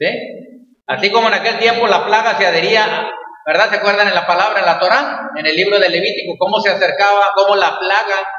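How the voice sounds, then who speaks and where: With audible room echo, a man uses a raised, projected voice that sits high in pitch and shows ordinary pitch variation. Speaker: pastor. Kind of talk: sermon. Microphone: echo in closed room.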